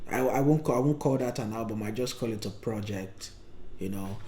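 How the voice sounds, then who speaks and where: A man with a Nigerian accent speaks with ordinary pitch variation amid audible room echo. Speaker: podcast co-host. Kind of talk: casual chat. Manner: halting, with frequent fillers.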